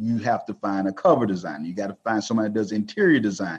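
A man's fairly low voice with a Texan accent against a quiet background. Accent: Texan Southern US. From rural northeast Texas. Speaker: self-publishing company founder. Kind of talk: podcast interview.

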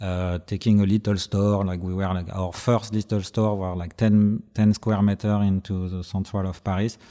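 Speaking with a French accent, a man uses a dark, mellow tone at a fairly low pitch, with monotone, flat intonation at a moderate pace on a very clean recording with a silent background. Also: hardly any pauses. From Brittany, France. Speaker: record label co-founder. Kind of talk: casual interview chat. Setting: studio. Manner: halting, hesitant.

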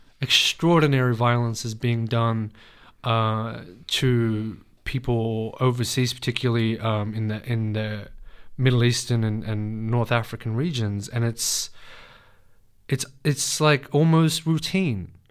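With an Australian accent, a man speaks at a fairly slow pace and medium pitch with ordinary pitch variation, on a very clean recording with a silent background. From Western Sydney, Australia. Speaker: poet. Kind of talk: interview. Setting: studio.

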